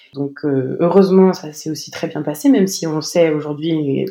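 A woman speaks at a very deep, low pitch. Her intonation is fairly even and her pace fairly slow. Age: 20s. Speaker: new mother sharing birth story. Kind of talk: testimony. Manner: halting, many repetitions and fillers.

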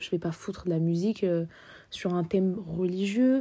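In a very clean recording with a silent background, a woman with a dark, mellow tone speaks at a moderate pace. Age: 20s. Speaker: podcaster. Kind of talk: casual monologue. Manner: spontaneous, some stammering.

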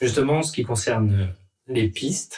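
The voice belongs to a man and is somewhat breathy. It sits at a medium pitch. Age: 30s. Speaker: railway signalman. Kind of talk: workplace podcast interview. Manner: halting, repeats words.

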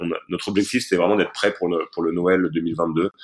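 A man speaks with a very deep, low pitch. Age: 30s. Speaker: entrepreneur. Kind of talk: interview. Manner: halting, many repeated words and fillers.

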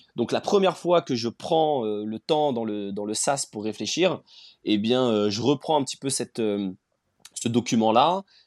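In a quiet background, a man speaks at a fairly slow pace. His pitch is medium and his intonation is lively. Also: dry, close sound with no echo. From Rennes, Brittany, France. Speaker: startup founder. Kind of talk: interview. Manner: hesitant, many fillers.

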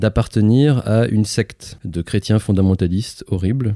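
A man's fairly low voice, dark and mellow in tone, with ordinary pitch variation, a fairly slow pace, and a dry, close sound with no echo. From France, Lyon. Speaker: musician and artistic director. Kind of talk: casual chat. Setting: in person at home in Lyon. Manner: halting, many hesitations.

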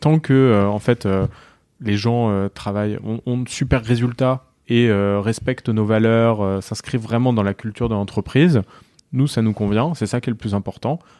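A man speaks at a medium pitch with ordinary pitch variation and a dark, mellow tone, recorded dry and close with no echo. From France, Mayenne (Laval). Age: 20s. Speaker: startup founder and CEO. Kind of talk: interview.

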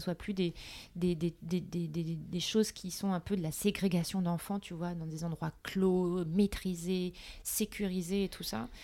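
A woman speaks in a normal speaking voice at a medium pitch, with fairly even intonation and a fairly slow pace. The recording is very clean, with a silent background. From Paris, France. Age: 30s. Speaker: entrepreneur. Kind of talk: casual interview.

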